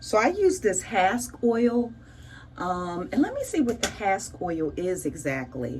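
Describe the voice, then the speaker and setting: Audible room echo around a woman's fairly slow speech. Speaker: beauty vlogger. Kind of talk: casual tutorial vlog. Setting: home bathroom. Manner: animated.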